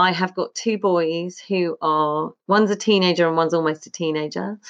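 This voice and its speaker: A woman's plain, everyday voice at medium pitch, with fairly even intonation and a quiet background. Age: 50s. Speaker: singer-songwriter and small business owner. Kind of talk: casual chat.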